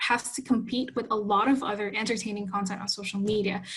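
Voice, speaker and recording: In an Indonesian accent, a woman speaks at a fairly high pitch with fairly even intonation. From Indonesia, Jakarta. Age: 20s. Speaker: youth health advocate. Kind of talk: conference talk.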